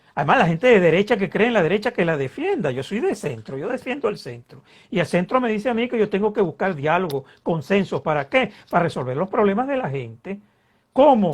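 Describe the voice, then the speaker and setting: A man with a Venezuelan accent talks at a fairly quick pace in a high pitch, with very wide pitch swings and a quiet background. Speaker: political scientist and politician. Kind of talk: interview. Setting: online video interview. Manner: animated.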